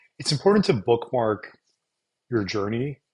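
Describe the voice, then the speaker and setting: A man's medium-pitched, somewhat breathy voice. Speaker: stand-up comedian. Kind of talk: casual talk to camera. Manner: unscripted, reflective.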